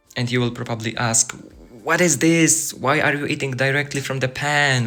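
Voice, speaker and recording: Fairly slow speech over music in the background. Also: man. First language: not English. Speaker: student. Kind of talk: casual vlog talk to camera.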